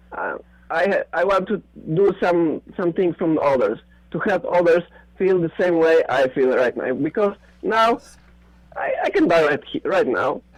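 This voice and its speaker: Speaking at a fairly slow pace with long, frequent pauses, a man with a non-native accent uses a high pitch and lively intonation over noticeable background noise. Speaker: conspiracy theorist. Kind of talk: casual chat. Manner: halting.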